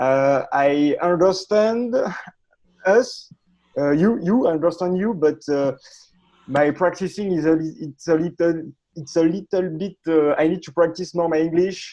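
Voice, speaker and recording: Speaking fairly slowly with a French Canadian accent, a woman uses a dark, mellow tone at a fairly low pitch with ordinary pitch variation. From Quebec. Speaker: study group participant. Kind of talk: casual chat. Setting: video call. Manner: halting.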